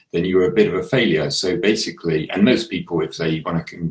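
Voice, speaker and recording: Speaking with an English accent, a man keeps up a fairly quick pace. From England. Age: 60s. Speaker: artist. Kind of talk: casual chat. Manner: halting.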